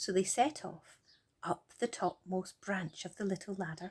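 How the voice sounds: At a fairly slow pace, a woman speaks at medium pitch with a slightly husky edge and ordinary pitch variation.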